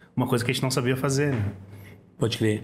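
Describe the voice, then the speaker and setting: The voice belongs to a man and is somewhat breathy. Its pitch is medium. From southern Brazil, Porto Alegre. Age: 40s. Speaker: rapper. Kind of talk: casual interview chat.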